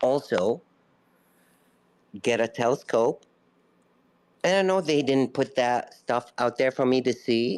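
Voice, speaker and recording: Intonation is lively while the loudness stays very even. The delivery is fairly slow, with long, frequent pauses. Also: man. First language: not English. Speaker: caller in a live audio room. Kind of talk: casual debate.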